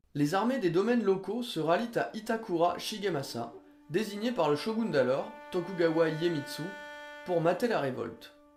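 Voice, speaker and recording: Over music in the background, a man speaks at a high pitch with very wide pitch swings. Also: moderate pace. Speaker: history video narrator. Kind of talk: educational history narration.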